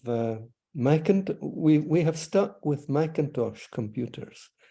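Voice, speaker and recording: With a Scottish accent, a man speaks very slowly in a dark, mellow tone at a fairly high pitch. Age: 80s+. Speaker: author and retired orthodontist. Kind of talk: interview. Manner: halting.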